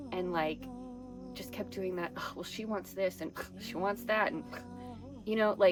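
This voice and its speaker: Spoken at a moderate pace with long, frequent pauses, the voice comes with an American accent and music in the background. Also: woman. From Texas. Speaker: spiritual podcast host. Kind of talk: personal testimony monologue. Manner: occasional word-finding pauses and mispronunciations from brain injury.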